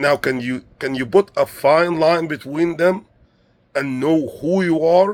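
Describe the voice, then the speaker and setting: A man speaks very slowly in a fairly high voice, with ordinary pitch variation. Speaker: motivational speaker. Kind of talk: motivational monologue. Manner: halting.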